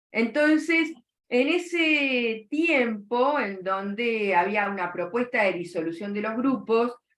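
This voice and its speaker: Speaking at a very slow pace, a woman with a Rioplatense accent lets her pitch swing very widely. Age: 60s. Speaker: psychoanalyst. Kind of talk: interview.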